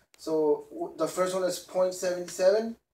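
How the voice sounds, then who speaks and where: Over audible room echo, a man with a high, dark and mellow voice speaks very slowly with fairly even intonation. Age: 20s. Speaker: student. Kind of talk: class presentation. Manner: halting. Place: classroom. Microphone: camera far.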